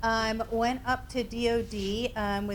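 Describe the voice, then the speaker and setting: In a slight Northeastern US accent, a woman speaks with fairly high pitch and flat, monotone intonation. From US Northeast. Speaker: suicide prevention trainer. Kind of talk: workshop presentation. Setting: training room with audience.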